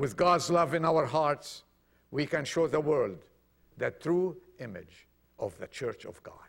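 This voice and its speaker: Fairly high in pitch, a man speaks at a fairly slow pace with long, frequent pauses and ordinary pitch variation. His voice has vocal fry and big swings in loudness. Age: 50s. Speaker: preacher. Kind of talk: sermon.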